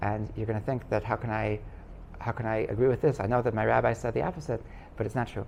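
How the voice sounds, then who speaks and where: The man's delivery moves at a very fast pace. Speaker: rabbi teaching a class. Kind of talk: lecture. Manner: halting, many repetitions and fillers.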